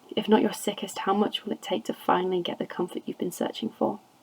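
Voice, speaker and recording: A woman's medium pitch and lively intonation against noticeable background noise. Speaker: amateur reader. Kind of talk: poetry reading. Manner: occasionally stumbles over words.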